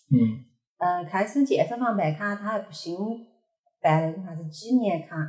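A woman speaks with lively intonation and big swings in loudness. Her voice is somewhat breathy, broken by long, frequent pauses. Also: moderate pace. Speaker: fitness enthusiast. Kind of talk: casual chat.

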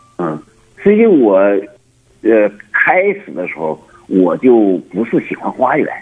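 Over background music, a man speaks very slowly with very wide pitch swings and long, frequent pauses. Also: medium pitch for a man. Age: 60s. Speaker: botanical garden owner. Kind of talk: phone interview. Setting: phone call. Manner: halting, many fillers and repetitions.

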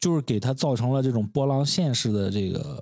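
A man with an ordinary speaking voice, medium pitch and moderate pace, on a very clean recording with a silent background. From Shandong, China. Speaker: podcast co-host, brand designer. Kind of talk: casual chat. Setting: home studio.

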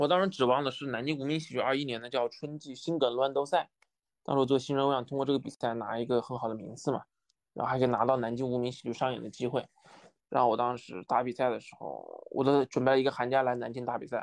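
Talking at a very fast pace, the man keeps his intonation fairly even while his loudness swings widely. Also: medium pitch for a man, quiet background. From China, Wuhan. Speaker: stand-up comedian. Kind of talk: casual interview.

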